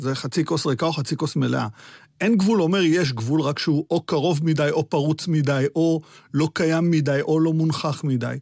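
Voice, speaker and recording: Here is a man with an unremarkable speaking voice and a fairly high pitch. He talks at a moderate pace with ordinary pitch variation, in a dry, close sound with no echo. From Israel. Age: 50s. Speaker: political science professor. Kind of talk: radio interview.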